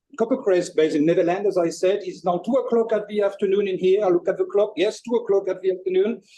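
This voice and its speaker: A man with a strong French accent talks fairly quickly in a high voice of dark, mellow tone. His intonation is lively. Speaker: chef presenter. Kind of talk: webinar presentation. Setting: kitchen, online webinar.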